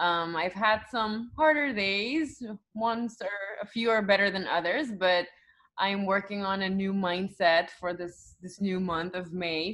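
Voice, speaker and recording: A woman with a Curaçao accent speaks at a medium pitch, her intonation lively. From Aruba. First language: Papiamento. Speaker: news anchor. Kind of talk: casual chat.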